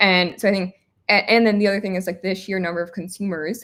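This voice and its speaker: A woman with an American accent, an unremarkable speaking voice, and fairly even intonation. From United States. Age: 20s. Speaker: startup founder. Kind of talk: interview.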